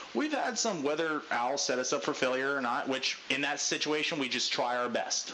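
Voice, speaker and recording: Noticeable background noise sits under a man with a fairly high pitch who talks with hardly any pauses. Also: ordinary pitch variation, moderate pace, very even loudness. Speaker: gaming group leader. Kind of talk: team briefing. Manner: loud.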